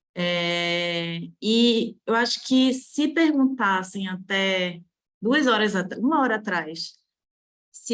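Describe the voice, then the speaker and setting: A woman speaks with a Belém accent at a fairly high pitch. The background is quiet. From Belém, Pará, northern Brazil. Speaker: architecture researcher, doctoral student. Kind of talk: academic conference Q&A comment.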